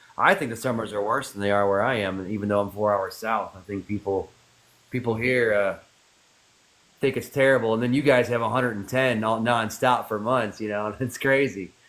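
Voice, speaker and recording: A man with a plain, everyday voice, medium pitch, fairly even intonation and a fairly quick pace. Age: 60s. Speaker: live stream host. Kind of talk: casual chat. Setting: TikTok live stream.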